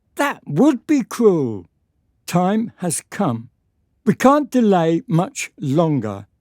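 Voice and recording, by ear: In a very clean recording with a silent background and a dry, close sound with no echo, a woman does a put-on character voice at a slow pace, her slightly mellow tone moving through very wide pitch swings. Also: fairly low pitch for a woman.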